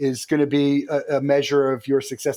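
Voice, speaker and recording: A man talks at a fairly quick pace with a normal speaking voice, pitched fairly high. The recording is very clean, with a silent background. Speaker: company founder and CEO. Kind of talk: interview.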